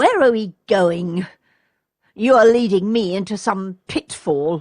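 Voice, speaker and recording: A woman performs a put-on character voice at a medium pitch. Her delivery is fairly slow, with ordinary pitch variation. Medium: read story.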